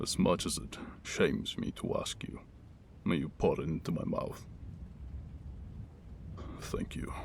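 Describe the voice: A raspy, put-on character voice at a moderate pace, with long, frequent pauses and clear background noise. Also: man.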